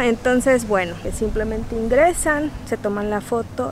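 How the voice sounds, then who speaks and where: A woman at a very slow pace, in a dry sound with no echo, amid noticeable background noise. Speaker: travel vlogger. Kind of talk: casual vlog chat. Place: beach. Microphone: phone near.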